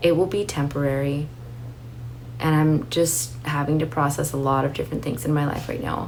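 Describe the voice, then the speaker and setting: Heard through noticeable background noise and audible room echo, a woman speaks at a very deep, low pitch with fairly even intonation. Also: moderate pace. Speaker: YouTuber, book and fragrance content creator. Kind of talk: casual monthly favorites vlog. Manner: calm, soothing.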